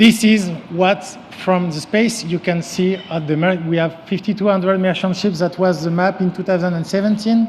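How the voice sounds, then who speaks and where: A man with a strong French accent, high-pitched, fairly even in intonation, over noticeable background noise. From France. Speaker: company CEO and former sailing champion. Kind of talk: conference presentation. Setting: stage with audience. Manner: halting, with frequent fillers.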